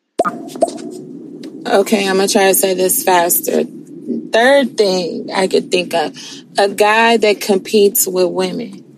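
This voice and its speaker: A woman speaks very slowly at a fairly high pitch, with very wide pitch swings and very even loudness. Noticeable background noise is present. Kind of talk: casual chat.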